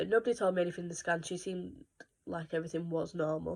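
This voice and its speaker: A woman's fairly low-pitched voice with a British accent and fairly even intonation. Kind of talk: casual talk to camera.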